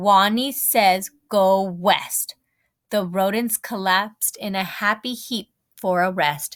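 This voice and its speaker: A woman's squeaky, put-on character voice at medium pitch and a fairly slow pace. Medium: read story.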